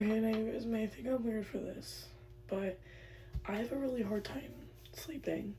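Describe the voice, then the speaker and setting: A woman with an American accent at a moderate pace, with long, frequent pauses and audible room echo. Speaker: lifestyle vlogger. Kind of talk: get ready with me vlog. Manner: casual, filler-heavy.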